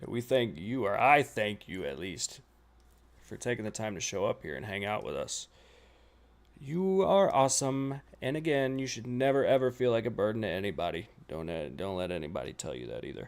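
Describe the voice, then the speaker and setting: On a very clean recording with a silent background, a man with an American accent speaks at a medium pitch and a moderate pace, with very wide pitch swings and big swings in loudness. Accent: southern US, comes out at times. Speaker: reaction streamer. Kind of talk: live stream reaction chat.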